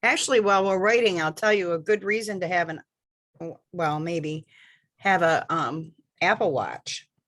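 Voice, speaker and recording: A woman with an unremarkable speaking voice talks at a medium pitch and a moderate pace, with ordinary pitch variation and a quiet background. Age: 60s. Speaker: librarian attending a training. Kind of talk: casual chat.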